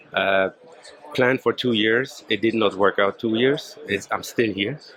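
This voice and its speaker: A man at a medium pitch and a fairly slow pace, with fairly even intonation, very even loudness and noticeable background noise. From Germany. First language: German. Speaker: media technology executive. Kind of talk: podcast interview. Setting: trade show stand. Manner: halting.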